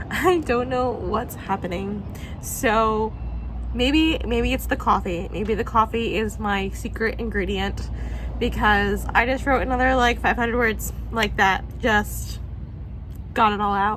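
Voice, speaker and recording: There is audible echo in the room and noticeable noise behind this woman, who talks at a fairly slow pace. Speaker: writer and vlogger. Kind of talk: casual vlog. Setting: outdoors.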